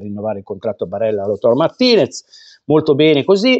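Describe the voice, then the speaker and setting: Over a quiet background, a man speaks at a fairly high pitch. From Italy. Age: 50s. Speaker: football vlogger. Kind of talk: angry rant. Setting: home studio, online video. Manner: indignant, scolding, heated; emphatic, repetitive. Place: home room. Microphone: lapel.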